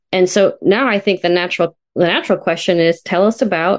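A woman with an American accent speaks in a normal speaking voice at a medium pitch and a moderate pace, with ordinary pitch variation and a dry, close sound with no echo. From California, Sonoma County. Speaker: family therapist, podcast co-host. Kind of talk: casual professional conversation.

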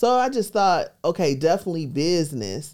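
The voice has a dark, mellow tone and comes with an American accent. It is a very clean recording with a silent background. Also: woman. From US Midwest, Milwaukee, Wisconsin. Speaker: real estate investor and tax lien teacher. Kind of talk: interview.

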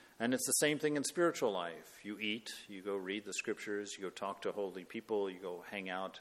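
Here is a man with a plain, everyday voice, fairly low in pitch. He talks at a fairly quick pace with fairly even intonation. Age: 50s. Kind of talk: spiritual talk. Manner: conversational with frequent fillers.

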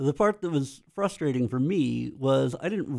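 Speaking with an American accent, a man has a dark, mellow tone. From US, Pennsylvania (Lancaster County). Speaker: computer science professor and bass player. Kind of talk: casual interview.

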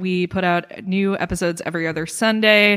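In a very clean recording with a silent background, a woman with a normal speaking voice talks at a medium pitch and moderate pace. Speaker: podcast host. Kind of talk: casual interview chat.

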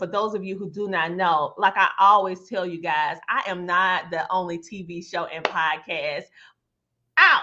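Very slowly, a woman with a Southern US accent speaks at medium pitch in a bright, sharp tone. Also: quiet background. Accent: rural Southern US twang. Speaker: podcast host. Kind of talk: interview talk show. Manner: animated.

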